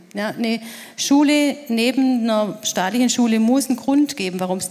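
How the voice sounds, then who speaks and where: Noticeable background noise runs under a woman's voice. She speaks at a fairly high pitch and a moderate pace, with ordinary pitch variation. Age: 50s. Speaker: secondary school teacher. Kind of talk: panel discussion.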